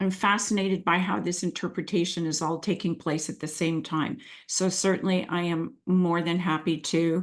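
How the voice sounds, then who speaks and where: A woman's fairly low voice at a moderate pace, fairly even in intonation and with hardly any pauses, against a quiet background. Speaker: coaching mentor. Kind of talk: webinar presentation.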